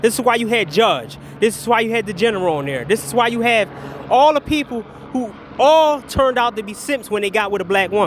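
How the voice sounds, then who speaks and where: An animated man at a fairly quick pace, with noticeable background noise. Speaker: commentary vlogger. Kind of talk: casual rant. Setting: outdoors. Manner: halting.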